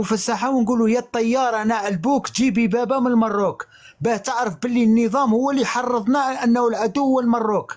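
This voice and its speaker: At a fairly quick pace, a man speaks with extremely high pitch and fairly even intonation. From Algeria. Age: 40s. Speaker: live stream guest. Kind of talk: testimony. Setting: online live stream. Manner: emphatic.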